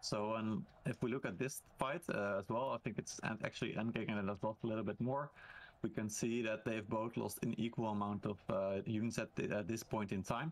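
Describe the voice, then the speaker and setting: With a plain, everyday voice, a man speaks at medium pitch and a fairly quick pace, his intonation fairly even. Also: very even loudness. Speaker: esports commentator. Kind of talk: live sports commentary on a game match.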